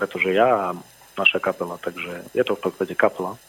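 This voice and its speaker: A man at a fairly quick pace, fairly low in pitch. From southern Slovakia, Filakovo/Lučenec area. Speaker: rock musician. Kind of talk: radio interview. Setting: phone call.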